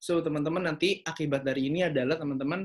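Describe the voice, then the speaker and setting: A man's fairly high voice at a very fast pace, with lively intonation against a quiet background. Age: young. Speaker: young entrepreneur; presenter. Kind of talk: online seminar talk. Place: home room. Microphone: video call.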